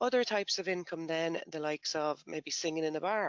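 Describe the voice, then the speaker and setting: Speaking with an Irish accent, a man uses a fairly high pitch and ordinary pitch variation. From Ireland. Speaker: tax software company presenter. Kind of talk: educational webinar presentation. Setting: online webinar.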